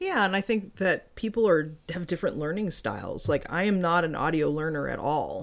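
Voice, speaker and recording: The voice has vocal fry and ordinary pitch variation. It runs at a moderate pace with hardly any pauses. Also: woman, fairly low pitch for a woman. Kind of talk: casual chat.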